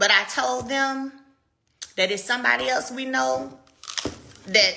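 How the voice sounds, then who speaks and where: With an animated tone and very wide pitch swings, a woman with a fairly high voice speaks at a moderate pace in a room with audible echo. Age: 30s. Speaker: live stream host selling wellness products. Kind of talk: casual live stream chat. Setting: Instagram live video.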